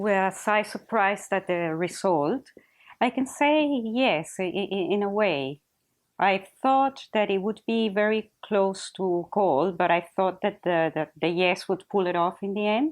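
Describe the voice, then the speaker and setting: Speaking with a Spanish accent, a woman keeps a medium pitch with ordinary variation. Her pace is fairly slow. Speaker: teacher. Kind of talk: interview testimony. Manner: halting.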